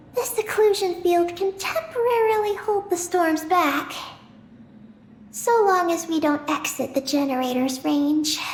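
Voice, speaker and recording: A put-on character voice at an extremely high pitch and a moderate pace, over clear background noise. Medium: video game. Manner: calm, even, matter-of-fact.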